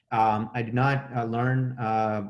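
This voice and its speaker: A man speaks with a Gujarati accent. His medium-pitched voice has fairly even intonation. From India, Mumbai. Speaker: professor. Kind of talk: career talk lecture. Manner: halting, many fillers.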